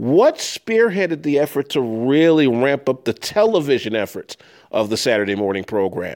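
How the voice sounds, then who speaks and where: A man with a Chicago accent, fairly high in pitch, with very wide pitch swings at a moderate pace, on a very clean recording with a silent background. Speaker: radio host. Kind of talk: interview.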